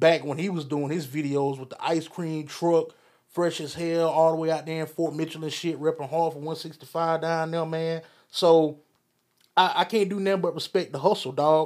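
In a very clean recording with a silent background, a man speaks at a moderate pace in a fairly high, monotone, flat voice. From Alabama, Phenix City. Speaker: podcast host. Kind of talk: casual solo commentary. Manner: casual, laid-back.

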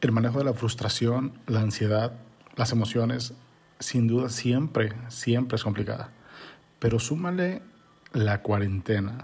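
A man with a medium pitch speaks at a fairly slow pace, somewhat breathy, with ordinary pitch variation, very even loudness, and long, frequent pauses. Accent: Mexican. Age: 30s. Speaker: podcast host and insurance agent. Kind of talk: casual monologue. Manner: animated, conversational.

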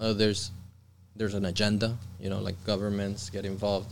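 Audible room echo surrounds a man's voice. He talks at a fairly low pitch and a fairly quick pace. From Colombia. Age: 30s. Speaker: shamanic practitioner. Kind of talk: casual chat.

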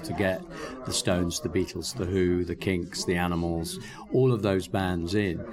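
Through noticeable background noise, a man with a very deep, low pitch speaks at a moderate pace with ordinary pitch variation. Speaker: film director. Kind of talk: interview. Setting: film festival. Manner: halting.

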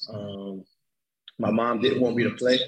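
Monotone, flat delivery at a fairly slow pace, with an American accent. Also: man. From Long Island, New York. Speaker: import football player. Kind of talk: casual interview. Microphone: echo in headphones.

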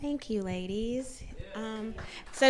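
A woman speaks with a high pitch. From Nashville, Tennessee. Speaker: singer-songwriter, panel moderator. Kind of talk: panel moderation. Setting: stage with audience.

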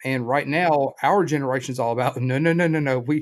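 On a very clean recording with a silent background, a man in a normal speaking voice talks at medium pitch with ordinary pitch variation. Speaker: podcast host. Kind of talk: casual podcast interview.

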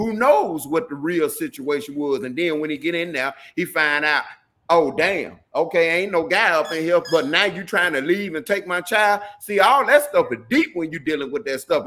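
A man in a Southern US accent uses a high, bright, sharp voice with lively intonation. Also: moderate pace. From Mississippi. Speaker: reality TV personality. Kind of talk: interview. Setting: video call.

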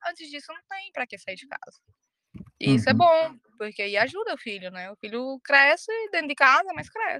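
A woman's raised, projected voice, high-pitched with a bright, sharp tone, very wide pitch swings and big swings in loudness, in a dry, close sound with no echo. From Ceará, Brazil. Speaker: crypto P2P trader. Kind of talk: casual chat.

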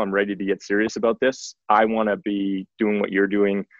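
A man talks at a fairly quick pace in a Western Canadian accent. His pitch is fairly low. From Canadian Prairies, Saskatoon. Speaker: tech company executive. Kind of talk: interview.

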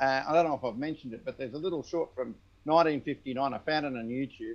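The speaker talks fairly quickly in an Australian accent, with ordinary pitch variation. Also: man. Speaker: audio technician.

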